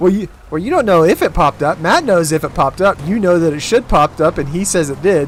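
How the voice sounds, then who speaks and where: Noticeable background noise sits behind a man with a high voice. He talks very fast, with ordinary pitch variation. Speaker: streamer. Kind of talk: casual chat.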